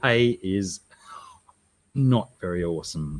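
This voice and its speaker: A man talks very slowly in a fairly low voice. His intonation is lively. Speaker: streamer. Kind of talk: casual livestream chat.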